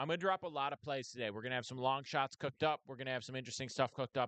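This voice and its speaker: A man at medium pitch with ordinary pitch variation, a dry, close sound with no echo, and a quiet background. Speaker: sports betting streamer. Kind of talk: live stream casual talk. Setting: live stream. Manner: loud.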